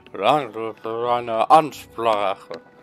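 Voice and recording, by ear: Over faint background music, a man puts on a character voice at a medium pitch and speaks at a very slow pace. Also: ordinary pitch variation.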